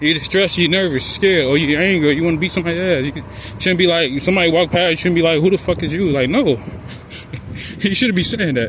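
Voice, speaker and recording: A man talks very fast at a high pitch, with ordinary pitch variation. Noticeable background noise runs underneath. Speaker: vlogger. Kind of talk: walking vlog monologue. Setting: outdoors, walking in the street.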